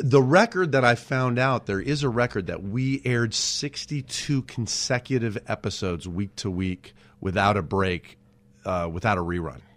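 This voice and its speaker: At a moderate pace, a man with a plain, everyday voice and an American accent speaks at a medium pitch with lively intonation, in a very clean recording with a silent background. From Southern California. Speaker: TV writer and producer. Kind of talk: casual interview chat. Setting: studio with headphones.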